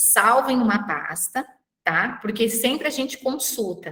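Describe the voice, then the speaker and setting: Using an ordinary speaking voice, a woman talks at a fairly slow pace with ordinary pitch variation. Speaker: university lecturer and thesis advisor. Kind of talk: online class session.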